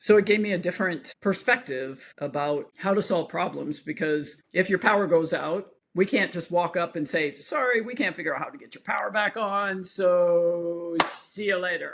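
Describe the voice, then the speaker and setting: In a very clean recording with a silent background, a woman with an ordinary speaking voice talks at a moderate pace and medium pitch, with ordinary pitch variation, hardly any pauses and big swings in loudness. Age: 50s. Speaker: equine veterinarian. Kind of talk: interview. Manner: conversational, informal.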